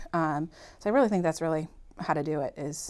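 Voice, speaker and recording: Talking at a very fast clip, a woman with a slight Boston accent has a very deep, low pitch, captured in a very clean recording against a silent background. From Massachusetts, Malden (Boston area). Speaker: podcast guest, working mother. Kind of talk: casual chat.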